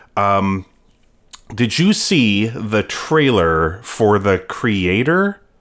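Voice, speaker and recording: At a very slow pace, a man speaks fairly low with ordinary pitch variation. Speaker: film podcast co-host. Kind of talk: casual movie-review chat. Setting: podcast studio. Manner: hesitant, filler-heavy (lots of uh, um).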